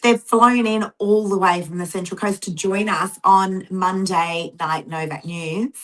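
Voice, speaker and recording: A woman of medium pitch talks at a fairly slow pace with fairly even intonation and hardly any pauses. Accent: Australian. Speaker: real estate agent and show host. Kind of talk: casual chat.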